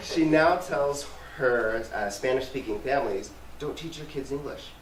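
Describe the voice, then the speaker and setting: Amid noticeable background noise and audible room echo, a man with a fairly high pitch speaks at a moderate pace, with ordinary pitch variation and big swings in loudness. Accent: American. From US Southwest, New Mexico and West Texas. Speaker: community relations manager. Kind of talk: talk to a community group.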